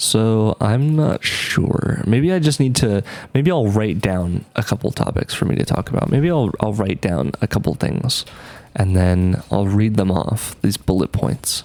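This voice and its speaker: Against noticeable background noise, a man with a fairly low pitch speaks at a fairly slow pace, his pitch swinging very widely while his loudness stays very even. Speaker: vlogger. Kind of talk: casual monologue. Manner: hesitant, many fillers.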